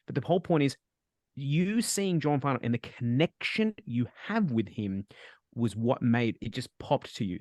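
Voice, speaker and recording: A man with an Australian accent speaks at a medium pitch with very wide pitch swings. The sound is dry and close, with no echo. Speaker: spiritual medium and webinar host. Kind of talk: live webinar Q&A. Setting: video call. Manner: fast.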